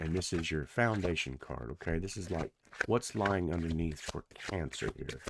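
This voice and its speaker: A man speaks quietly in a very deep, low voice with vocal fry. His pitch varies in an ordinary way. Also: moderate pace. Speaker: tarot reader. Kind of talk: tarot reading. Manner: quiet, low voice; casual.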